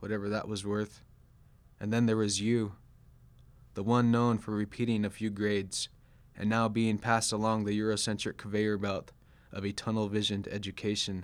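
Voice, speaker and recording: A man with an American accent speaks at a moderate pace in a fairly low, monotone, flat voice. The recording is very clean, with a silent background. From US West Coast (Sacramento, California). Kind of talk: poetry reading.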